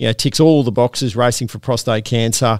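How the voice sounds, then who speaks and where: A man with an Australian accent speaks at a medium pitch and a moderate pace, his intonation fairly even. The recording is very clean, with a silent background and a dry, close sound that has no echo. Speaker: harness racing podcast host. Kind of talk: casual chat. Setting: studio.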